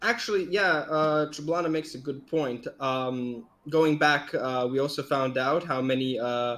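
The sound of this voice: The reading here comes in an unforced voice.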